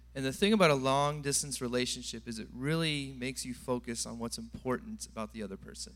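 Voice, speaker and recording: With an American accent, a man rushes along at a very fast pace with hardly any pauses and big swings in loudness. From California. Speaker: church member giving testimony. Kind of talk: testimony. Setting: church.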